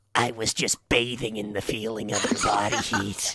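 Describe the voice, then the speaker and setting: A man's raspy, medium-pitched put-on character voice at a moderate pace. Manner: possessed.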